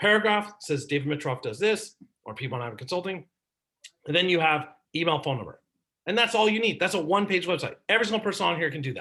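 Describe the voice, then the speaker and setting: A man talks at a very fast pace in a high pitch. His tone is bright and sharp, with lively intonation. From San Francisco Bay Area, California. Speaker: marketing consultant and speaker. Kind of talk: presentation. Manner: animated.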